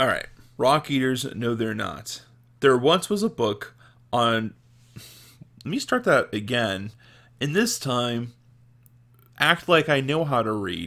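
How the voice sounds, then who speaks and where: With a bright, sharp tone and a medium pitch, a man speaks at a very slow pace with long, frequent pauses, in a very clean recording with a silent background. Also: lively intonation. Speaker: podcast host. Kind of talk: reading aloud.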